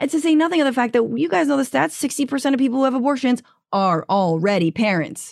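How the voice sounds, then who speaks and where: In a very clean recording with a silent background, a woman talks very fast in a high, animated voice. Her pitch swings very widely. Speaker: comedian and podcaster. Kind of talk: casual chat.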